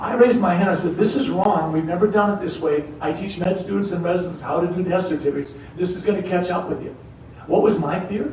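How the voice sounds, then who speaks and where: A man with a high voice talks at a very fast pace, with noticeable background noise and audible room echo. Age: 60s. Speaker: political candidate and family doctor. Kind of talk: campaign speech. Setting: university event with audience.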